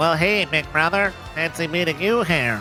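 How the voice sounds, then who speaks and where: A man's nasal, high-pitched put-on character voice, with clear music in the background. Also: moderate pace. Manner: playful.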